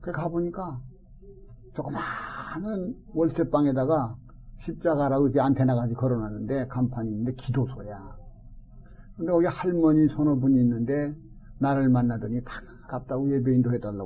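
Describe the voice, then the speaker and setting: This man's voice is medium in pitch, dark and mellow, and somewhat breathy, moving at a moderate pace with ordinary pitch variation. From South Korea, Daejeon (Chungcheong). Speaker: retired pastor. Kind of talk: interview, life story.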